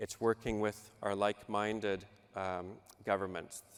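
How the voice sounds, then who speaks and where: A man with a Canadian accent speaks at a fairly low pitch. His intonation is monotone and flat. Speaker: government official. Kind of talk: panel presentation.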